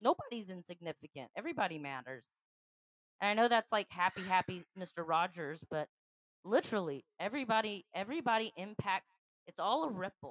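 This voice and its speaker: An unremarkable speaking voice, fairly quick and lively in intonation, with big swings in loudness and a dry, close sound with no echo. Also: woman, medium pitch for a woman. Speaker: podcast co-host. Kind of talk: casual chat.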